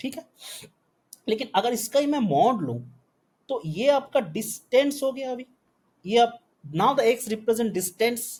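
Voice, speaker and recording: The speech comes at a fairly slow pace, broken by long, frequent pauses. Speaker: physics teacher. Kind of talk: online lecture. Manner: code-switching Hindi and English.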